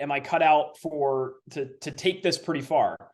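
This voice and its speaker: In a plain, everyday voice, a man talks at a fairly high pitch with ordinary pitch variation. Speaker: public address announcer and sports broadcaster. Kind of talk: interview answer. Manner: conversational, thoughtful, some filler words.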